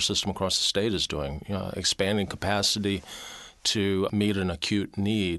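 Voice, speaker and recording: Here is a man with an ordinary speaking voice, fairly low in pitch. He keeps a moderate pace and fairly even intonation over a quiet background. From US South, Mobile, Alabama. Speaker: university chancellor and physician. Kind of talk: interview.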